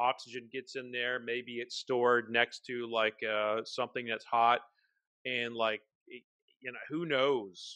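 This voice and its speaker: Slow-ish and monotone, a man speaks at a medium pitch with an American accent, his intonation flat and his tone bright and sharp. The sound is dry and close with no echo, and the background is quiet. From Oklahoma. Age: 40s. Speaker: whiskey writer and podcast host. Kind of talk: casual chat.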